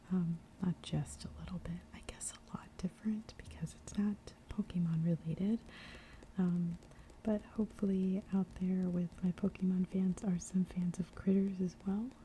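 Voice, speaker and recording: A whispering, soft-spoken voice. It moves at a moderate pace. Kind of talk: casual chatty talk to camera. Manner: soft-spoken, whispered.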